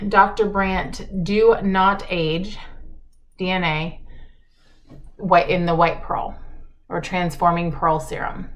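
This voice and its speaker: A woman speaks at a medium pitch with ordinary pitch variation. Her voice carries audible room echo. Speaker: makeup vlogger. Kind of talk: get ready with me chat. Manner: casual, chatty.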